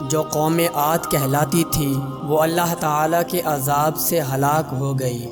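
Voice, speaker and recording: A man's voice with ordinary pitch variation and music in the background. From Pakistan. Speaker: voice-over artist. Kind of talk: Islamic story narration.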